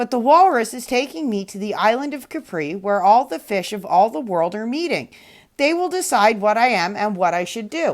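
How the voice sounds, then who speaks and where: A put-on character voice at a moderate pace, in a very clean recording with a silent background. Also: woman, fairly high pitch for a woman. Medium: read story. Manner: innocent, earnest.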